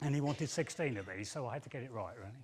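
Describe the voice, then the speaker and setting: A man with a London accent, fairly high-pitched, with very wide pitch swings. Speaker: engineering technician. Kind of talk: conference talk. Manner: hesitant, with fillers and repeats.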